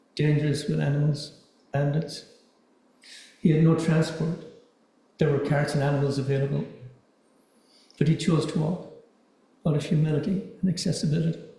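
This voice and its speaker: A soft-spoken man talks at a fairly quick pace in a fairly high pitch, using a monotone, flat intonation and long, frequent pauses, with audible room echo and noticeable background noise. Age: 60s. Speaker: dharma talk speaker. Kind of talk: dharma talk. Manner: halting, repeats words.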